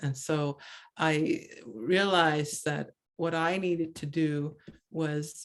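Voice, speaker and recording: A woman with a Maritime Canadian accent speaks in a very deep, low pitch. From Cape Breton, Nova Scotia (Mi'kmaq). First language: Mi'kmaq. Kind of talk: presentation over video call. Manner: halting, many repetitions and fillers.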